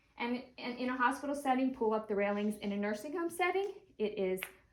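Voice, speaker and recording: A woman talks at a moderate pace. Hers is a normal speaking voice. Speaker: nursing instructor. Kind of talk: tutorial.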